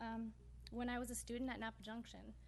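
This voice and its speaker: A shaky woman's voice with an American accent, at a fairly quick pace. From US West Coast (Northern California). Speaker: city council member. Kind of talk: public meeting speech. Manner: shaky, emotional.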